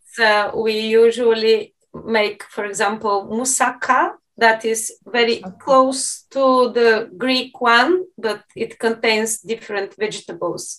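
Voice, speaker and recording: A woman speaks at a very slow pace and a fairly high pitch. She uses hardly any pauses, and her intonation is fairly even. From Bulgaria (Plovdiv). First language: Bulgarian. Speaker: university professor of Spanish. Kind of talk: casual interview.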